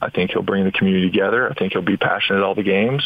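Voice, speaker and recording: A man talks at a very fast pace with a fairly low pitch. Noticeable background noise runs underneath. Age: 40s. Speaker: former basketball player and business owner. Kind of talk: radio interview.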